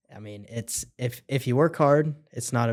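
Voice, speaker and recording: A man speaks with a Midwestern US accent and fairly even intonation in a very clean recording with a silent background. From central Illinois. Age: 20s. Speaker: plumbing business owner. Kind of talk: casual chat.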